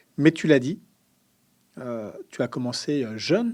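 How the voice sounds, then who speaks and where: A man talks at a medium pitch in a dark, mellow tone. The recording is very clean, with a silent background. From central France (Sologne), then Paris. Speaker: podcast host, politically active. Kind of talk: interview.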